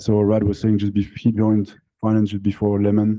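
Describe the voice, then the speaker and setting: A man's fairly low, dark, mellow voice with a French accent. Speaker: crypto company founder and CEO. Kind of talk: panel discussion. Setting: live event with audience.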